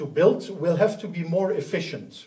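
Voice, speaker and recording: A high male voice, moving along at an unhurried yet unslow pace. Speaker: conference presenter. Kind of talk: lecture. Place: hall.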